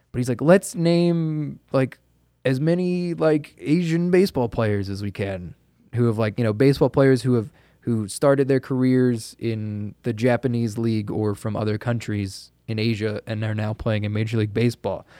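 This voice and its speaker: In a dark, mellow tone, a man with an American accent speaks at a medium pitch with lively intonation. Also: moderate pace. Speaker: podcast host. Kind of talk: casual chat. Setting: remote recording over the internet. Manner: mumbles at times.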